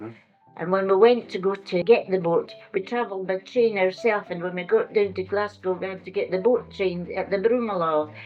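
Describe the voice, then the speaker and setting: Over music in the background, a woman with a Scottish accent talks at a medium pitch and a fairly quick pace, her loudness swinging widely. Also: fairly even intonation. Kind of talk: interview answer. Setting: old tape recording.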